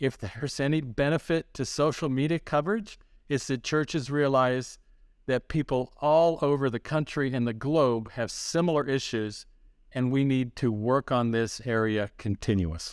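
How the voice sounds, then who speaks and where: A man with a plain, everyday voice speaks at a moderate pace and medium pitch in a very clean recording with a silent background and a dry, close sound with no echo. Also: ordinary pitch variation. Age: 60s. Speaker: church leadership consultant. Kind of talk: podcast interview.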